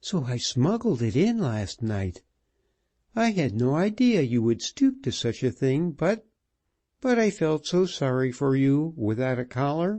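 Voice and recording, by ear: A man does a put-on character voice, breathy and fairly high in pitch. His pitch swings very widely at a moderate pace.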